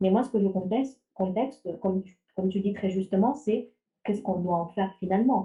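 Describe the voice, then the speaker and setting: A woman's medium-pitched, somewhat breathy voice with a slight non-native accent, fairly quick pacing and fairly even intonation. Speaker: AI ethics researcher. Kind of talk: panel discussion. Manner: hesitant, many fillers and restarts.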